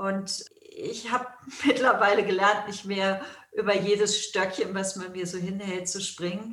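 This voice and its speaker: Fairly slow delivery with fairly even intonation, big swings in loudness and audible room echo. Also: woman, medium pitch for a woman. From Germany. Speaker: yoga school founder and teacher, author. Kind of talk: interview.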